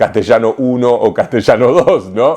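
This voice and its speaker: A man's dark, mellow voice with lively intonation at a moderate pace. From Argentina, Rosario. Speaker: writer and literature scholar. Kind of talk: interview answer. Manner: hesitant, frequent repetitions.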